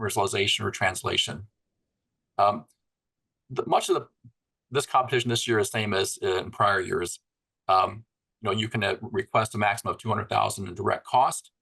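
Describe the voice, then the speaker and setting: A man's medium-pitched voice, bright and sharp in tone, at a fairly quick pace with fairly even intonation and long, frequent pauses. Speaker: webinar moderator, grant program co-director. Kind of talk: informational webinar presentation. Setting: online webinar. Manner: fast; hesitant, many fillers.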